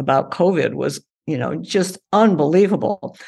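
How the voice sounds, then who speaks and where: A woman's fairly low voice with vocal fry, lively intonation and a moderate pace. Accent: American. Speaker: climate scientist and author. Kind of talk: interview.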